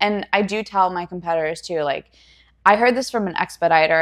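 In a very clean recording over a silent background, a woman with a plain, everyday voice speaks at a fairly quick pace, at medium pitch with ordinary pitch variation. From US Northeast, Pennsylvania. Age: 20s. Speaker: fitness competitor and personal trainer. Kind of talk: casual interview chat. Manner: laughs often.

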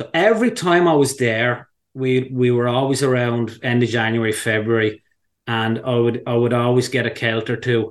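Against a quiet background, a man speaks in an Irish accent at a medium pitch. His pace is moderate and his intonation fairly even. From Ireland, County Wicklow. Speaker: fly angler. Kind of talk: casual interview.

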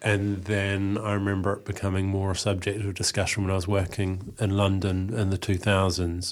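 With a New Zealand accent, a man talks at a moderate pace in a fairly low, monotone, flat voice, with hardly any pauses. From New Zealand, Eastbourne near Wellington. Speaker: journalist and academic researcher. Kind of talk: interview conversation. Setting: radio studio.

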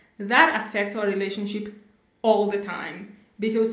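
At a moderate pace, a woman talks in a medium pitch. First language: not English (English is third language). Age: 30s. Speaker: podcast host. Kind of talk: casual conversational podcast.

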